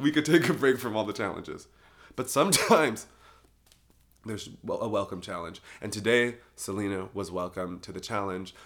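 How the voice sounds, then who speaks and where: An animated tone at a fairly quick pace, broken by long, frequent pauses, on a very clean recording with a silent background. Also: man, fairly low pitch for a man, lively intonation, big swings in loudness. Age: 20s. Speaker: solo podcast host. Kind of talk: casual monologue. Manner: fast; animated, laughing often.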